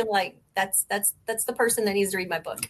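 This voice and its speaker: In a raised, projected voice, a woman speaks with an American accent. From Missouri, near Tennessee border. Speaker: cosplayer and writer. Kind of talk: casual chat.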